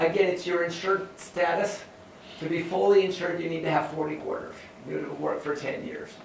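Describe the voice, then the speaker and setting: With an American accent, a man talks fairly quickly at a high pitch and fairly even intonation, amid audible room echo and light background noise. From California (San Joaquin Valley). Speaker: university professor. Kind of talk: lecture. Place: classroom.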